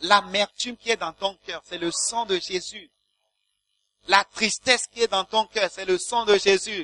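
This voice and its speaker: Here a man raises and projects his voice, his tone bright and sharp. The sound is dry and close, with no echo. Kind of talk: sermon with blessing and prayer. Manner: fervent, animated, exclamatory preaching; call-and-response with the congregation.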